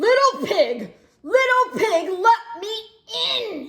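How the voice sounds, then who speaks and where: Squeaky and pitched extremely high, this is a put-on character voice. The delivery is very slow. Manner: hungry, growling.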